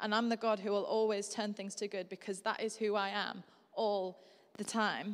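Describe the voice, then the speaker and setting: Her pitch is medium. The woman's intonation is flat and monotone. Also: moderate pace, very clean recording, silent background. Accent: Yorkshire. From Yorkshire, northern England. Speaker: guest preacher. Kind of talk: sermon. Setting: church service with live congregation.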